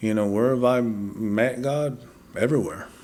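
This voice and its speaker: A man speaks at a moderate pace with a West Texas accent. His medium pitch holds a fairly even intonation. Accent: West Texas cowboy English. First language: Spanish. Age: 40s. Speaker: podcast guest, former cowboy. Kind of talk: testimony.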